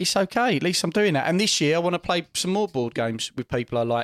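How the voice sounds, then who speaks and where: With an English accent, a man talks loudly with very wide pitch swings in a dry, close sound with no echo. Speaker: podcast host. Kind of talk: casual chat. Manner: animated, loud laugh.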